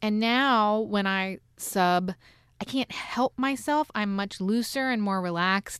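In an American accent, a woman speaks very slowly at a medium pitch with ordinary pitch variation and very even loudness, the sound dry and close with no echo. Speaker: podcast host and radio journalist. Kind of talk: casual chat. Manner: relaxed, loose.

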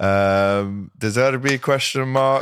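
A man speaks with a Liverpool accent in an animated tone. The recording is very clean, with a silent background. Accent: Liverpool (Scouse). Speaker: football podcast host. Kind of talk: casual chat. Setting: studio.

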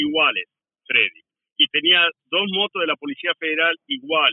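This male voice is pitched high. The intonation moves in a lively way. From Argentina. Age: 60s. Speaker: former police officer. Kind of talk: talk radio interview.

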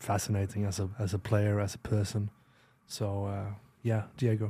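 With a Swedish accent, a man talks at a fairly slow pace in a fairly low, somewhat breathy voice with a dark, mellow tone and monotone, flat intonation. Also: very clean recording, silent background. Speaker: retired footballer. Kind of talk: casual chat. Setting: studio. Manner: halting.

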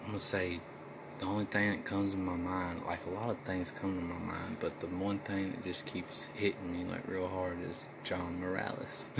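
A man speaks at a very deep, low pitch in a flat monotone. Audible room echo and noticeable background noise fill the recording. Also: moderate pace. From US West Coast, Los Angeles. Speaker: rapper. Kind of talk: casual chat.

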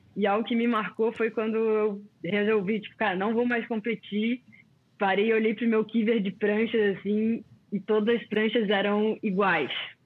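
This woman speaks at a fairly high pitch with a monotone, flat intonation. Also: moderate pace. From Brazil, Florianópolis (born in Rio). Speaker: former pro surfer. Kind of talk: casual chat.

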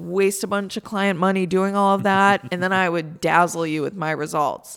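Recorded very cleanly against a silent background, a woman with an American accent uses a normal speaking voice at a moderate pace, medium pitch and ordinary pitch variation. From Central New York. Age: 30s. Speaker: hotel and restaurant owner. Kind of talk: casual chat. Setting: studio.

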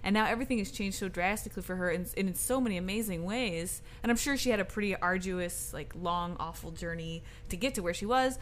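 Over music in the background, a woman with an American accent talks very fast at a medium pitch, with ordinary pitch variation and hardly any pauses. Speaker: podcast co-host. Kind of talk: casual chat.

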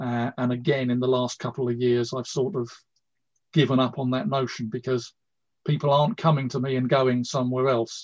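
Using an ordinary speaking voice, a man talks at a fairly quick pace with medium pitch and fairly even intonation. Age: 60s. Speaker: karate instructor. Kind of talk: casual chat.

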